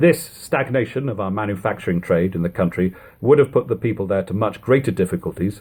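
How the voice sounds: Lively in intonation, a man talks at a fairly quick pace with a slightly mellow tone and a slightly husky edge.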